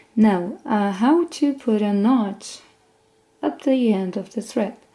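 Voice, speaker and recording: With a non-native accent, a woman speaks at a fairly high pitch in a dark, mellow tone. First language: not English. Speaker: sewing instructor. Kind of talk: tutorial. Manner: casual, conversational.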